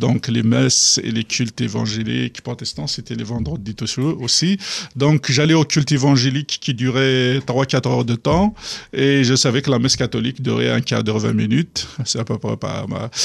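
A man talks at a moderate pace with a medium pitch, some vocal fry and ordinary pitch variation, against a quiet background. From Algeria, Kabylie. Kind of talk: testimony. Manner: halting.

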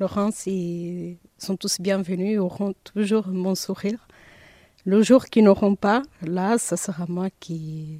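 Very slowly and with fairly even intonation, a woman with a slight Portuguese accent speaks at medium pitch in a dark, mellow tone, recorded very cleanly against a silent background with a dry, close sound and no echo. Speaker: receptionist. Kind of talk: interview. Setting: outdoors.

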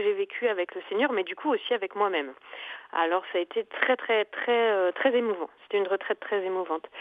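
The woman's intonation is lively. She talks at a fairly quick pace. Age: 40s. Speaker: retreat participant. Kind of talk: recorded testimony. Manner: hesitant, with fillers.

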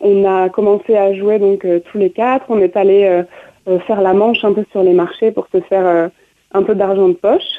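With very even loudness, a woman speaks at a moderate pace and medium pitch in a monotone, flat intonation. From France, grew up touring with a circus. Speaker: musician, violinist and dancer. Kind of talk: radio interview.

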